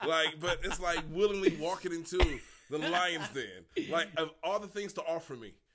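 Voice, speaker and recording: At a moderate pace, a man with an American accent speaks at a high pitch in a bright, sharp tone with ordinary pitch variation. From Detroit, Michigan. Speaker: comedian. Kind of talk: casual chat.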